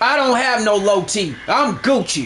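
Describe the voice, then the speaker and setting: A man projects a raised voice against noticeable background noise. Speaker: gaming streamer. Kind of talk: live stream rant. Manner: loud; animated.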